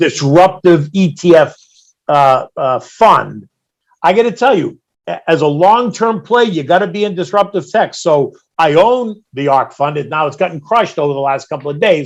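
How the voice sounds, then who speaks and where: Here a man with a high pitch speaks at a moderate pace. His intonation is lively. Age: 60s. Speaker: market strategist. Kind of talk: interview.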